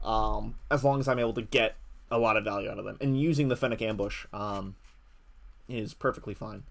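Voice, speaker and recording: A man at a fairly quick pace, on a very clean recording with a silent background. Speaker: card game player and commentator. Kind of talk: gameplay commentary. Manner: fast; hesitant, many fillers.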